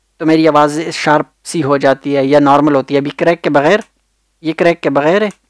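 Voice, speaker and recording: Dry and close with no echo, a man's voice of fairly high pitch comes at a moderate pace with fairly even intonation. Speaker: tech tutorial YouTuber. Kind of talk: tutorial. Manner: casual, hesitant with fillers.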